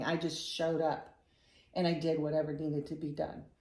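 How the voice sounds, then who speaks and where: The speaker is a woman. Room echo can be heard around her voice. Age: 60s. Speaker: pastor's widow. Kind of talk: testimony. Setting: home interview.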